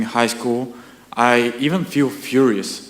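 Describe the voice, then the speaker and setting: Amid noticeable background noise and audible room echo, a man with a Bulgarian accent speaks very slowly at a medium pitch. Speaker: audience member. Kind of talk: audience question. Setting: lecture hall with audience.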